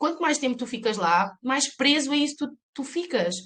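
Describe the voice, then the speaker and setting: Her tone relaxed and somewhat breathy, a woman speaks with lively intonation. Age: 30s. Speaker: life coach, mother, photographer. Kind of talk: podcast interview answer. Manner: relaxed but assertive.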